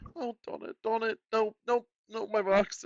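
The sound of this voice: Soft-spoken and fairly slow, a man uses a high-pitched, put-on character voice.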